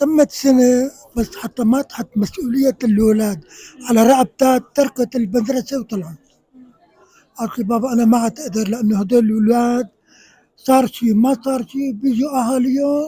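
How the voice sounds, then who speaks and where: Extremely high in pitch yet dark and mellow in tone, a man with a Syrian accent speaks at a moderate pace with ordinary pitch variation in a dry, close sound with no echo. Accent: Syrian Levantine Arabic. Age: 70s. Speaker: man on the street interviewee. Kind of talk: street interview.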